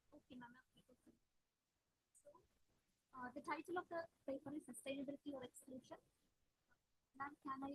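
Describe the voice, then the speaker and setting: A quiet woman speaks at a very fast pace and a high pitch, with fairly even intonation, big swings in loudness, and long, frequent pauses. The sound is dry and close, with no echo. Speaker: paper presenter at academic conference. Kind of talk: conference paper presentation. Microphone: laptop mic, too quiet.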